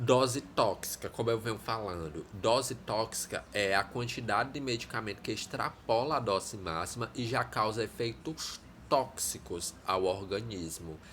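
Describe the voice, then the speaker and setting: With an ordinary speaking voice, a man talks at a fairly slow pace, his medium pitch varying in an ordinary way. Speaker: teacher. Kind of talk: lecture. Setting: live stream.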